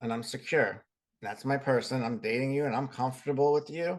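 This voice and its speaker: At a fairly quick pace, a man with an American accent speaks at a medium pitch. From Boston area. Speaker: podcast co-host. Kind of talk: casual chat.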